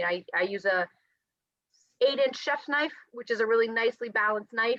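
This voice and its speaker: Her pitch fairly high and varying in an ordinary way, a woman speaks at a fairly quick pace. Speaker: nutrition and health coach. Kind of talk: presentation. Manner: fast.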